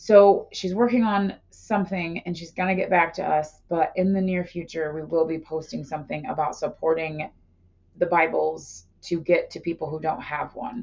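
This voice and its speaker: A woman speaks loudly at a moderate pace. Her voice is fairly low, with ordinary pitch variation. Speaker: podcast co-host. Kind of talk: casual chat. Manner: animated.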